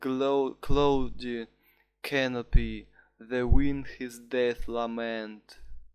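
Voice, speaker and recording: A man at a medium pitch speaks with a Russian accent. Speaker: student. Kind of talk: poetry reading.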